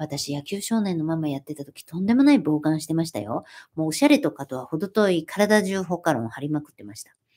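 A woman's very deep, low voice with a dark, mellow tone, very fast pace, lively intonation and big swings in loudness, over a quiet background. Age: 40s. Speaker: YouTuber and former magazine model; livestream host. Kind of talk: casual live stream chat. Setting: home live stream. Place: home room. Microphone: phone near.

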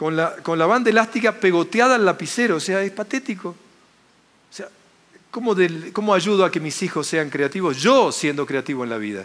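The speaker is a man whose delivery falls at a moderate pace. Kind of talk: motivational lecture. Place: hall. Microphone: headset.

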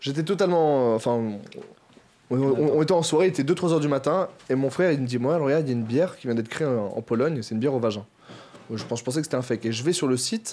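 A man with a fairly high pitch speaks very fast with ordinary pitch variation, broken by long, frequent pauses. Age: 20s. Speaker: YouTuber. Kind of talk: casual chat. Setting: studio. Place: studio. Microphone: studio mic.

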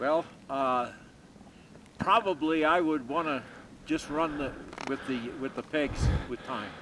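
Over noticeable background noise, a man with a fairly high pitch and ordinary pitch variation talks at a fairly slow pace with long, frequent pauses. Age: 70s. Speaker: ski biker. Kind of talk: interview answer. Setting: outdoors. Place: open country. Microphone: camera far.

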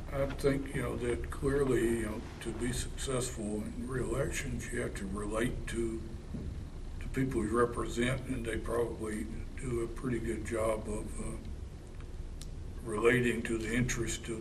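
Against noticeable background noise, a man speaks at a moderate pace. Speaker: interviewee. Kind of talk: interview answer. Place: hall.

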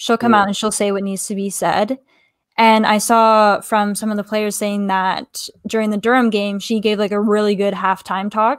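A woman with a Canadian accent at a moderate pace in a flat monotone, with a dry sound, no echo and a quiet background. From Canada. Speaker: fan podcast host. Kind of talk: casual chat. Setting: video call. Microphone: webcam.

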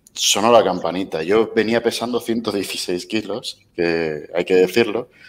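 A man talks with ordinary pitch variation. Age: 30s. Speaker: weight-loss interviewee; interview guest. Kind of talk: casual interview. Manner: halting. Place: home room. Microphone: headset.

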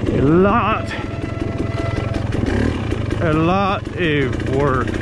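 The sound is dry with no echo. Loud background noise is heard. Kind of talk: casual ride commentary. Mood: excited, admiring. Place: motorbike. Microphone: helmet.

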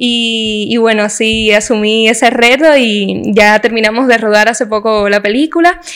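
The voice moves at a fairly slow pace with hardly any pauses, ordinary pitch variation and very even loudness. Noticeable background noise sits behind it. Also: woman, fairly high pitch for a woman. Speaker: actress and TV presenter. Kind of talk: interview.

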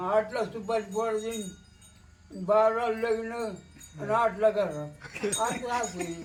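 This man's voice sits high in pitch. Its pitch variation is ordinary. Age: 80s+. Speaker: farmer. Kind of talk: interview answer.

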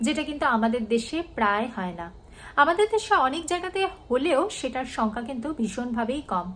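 Her pitch is high. This woman's voice makes very wide pitch swings. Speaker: vlogger. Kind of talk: vlog monologue.

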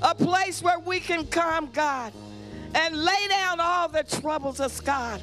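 Faint music plays behind a woman whose raised, projected voice moves at a fairly slow pace with ordinary pitch variation. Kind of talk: spoken prayer. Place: church. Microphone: handheld.

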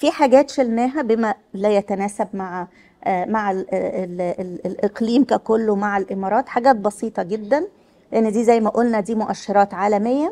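Her tone dark and mellow, a woman speaks at a fairly high pitch. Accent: Egyptian. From Egypt. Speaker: health official. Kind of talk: workshop presentation. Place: hall. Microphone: speaking without a microphone at times.

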